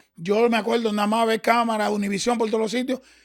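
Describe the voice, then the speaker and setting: In an animated tone, a man speaks at a high pitch. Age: 50s. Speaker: salsa dancer. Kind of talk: interview storytelling.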